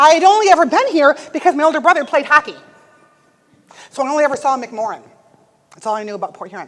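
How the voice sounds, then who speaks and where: Speaking very fast in an Upper Midwest accent, a woman sounds energetic, her pitch high. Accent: Upper Midwest American. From US Midwest (Michigan). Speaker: motivational speaker. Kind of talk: motivational speech. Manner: fast, energetic.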